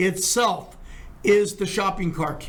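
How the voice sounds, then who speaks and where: Audible room echo surrounds a man as he speaks. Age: 70s. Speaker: criminal defense lawyer. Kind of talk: podcast discussion.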